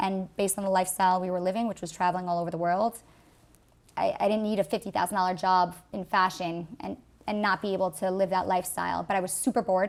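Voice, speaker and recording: A woman with a New York accent, medium pitch and very fast pace, monotone and flat, in a very clean recording with a silent background. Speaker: artist. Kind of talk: interview.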